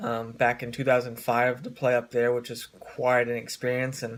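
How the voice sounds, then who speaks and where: A man with an American accent speaks in a medium pitch at a moderate pace. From US Pacific Northwest, Oregon. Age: 20s. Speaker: fitness coach. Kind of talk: casual vlog. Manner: halting, many fillers.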